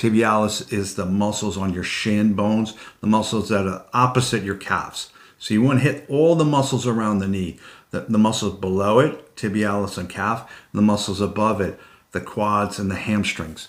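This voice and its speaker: At a moderate pace, a man speaks in a plain, everyday voice, fairly low in pitch with ordinary pitch variation. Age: 60s. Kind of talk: instructional talk to camera. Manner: conversational, explanatory, with filler words.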